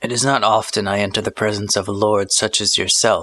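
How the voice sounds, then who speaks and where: Putting on a character voice, a man talks fairly quickly in a raspy, fairly low voice with monotone, flat intonation. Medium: read story. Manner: calm, detached, politely formal.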